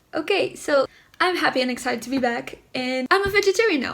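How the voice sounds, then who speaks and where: Over noticeable background noise, a woman speaks at a fairly quick pace and a high pitch. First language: Portuguese. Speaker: YouTuber. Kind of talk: casual vlog talk to camera.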